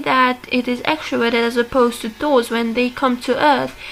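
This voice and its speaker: A high-pitched woman with a non-native accent at a moderate pace, over noticeable background noise. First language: not English. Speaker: video essayist on personality types. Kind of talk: casual monologue analysis. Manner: hesitant, many fillers. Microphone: bad audio quality.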